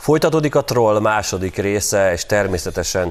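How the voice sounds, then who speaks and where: A man talks against a quiet background. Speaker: TV show host. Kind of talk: casual banter on a TV talk show.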